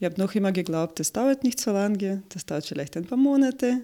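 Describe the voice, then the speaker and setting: A woman's medium-pitched voice with lively intonation, on a very clean recording with a silent background. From Ukraine. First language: Russian or Ukrainian (speaking German). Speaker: marketing expert. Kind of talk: interview. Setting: studio. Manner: halting, many fillers.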